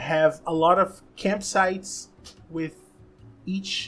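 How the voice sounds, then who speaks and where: Over music in the background, a woman with a Brazilian Portuguese accent speaks very slowly at a fairly low pitch with fairly even intonation. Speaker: gaming content creator. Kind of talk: casual monologue. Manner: halting, frequent restarts.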